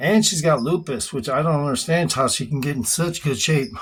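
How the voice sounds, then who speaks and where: A man speaks with a somewhat breathy voice at a fairly high pitch. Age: 60s. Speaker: fitness vlogger. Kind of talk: workout vlog. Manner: breathy exertion between sets.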